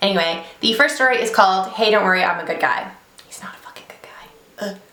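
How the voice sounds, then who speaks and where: Amid noticeable background noise and audible room echo, a woman speaks very fast at medium pitch with ordinary pitch variation. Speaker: beauty YouTuber reading stories. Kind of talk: casual vlog chat and story reading. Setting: home office, sitting in a desk chair.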